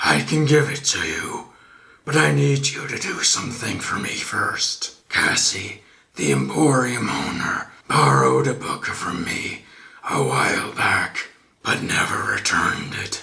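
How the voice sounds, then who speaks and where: Using a put-on character voice, a man speaks raspily at a fairly slow pace. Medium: fan dub. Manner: upbeat, eager to please.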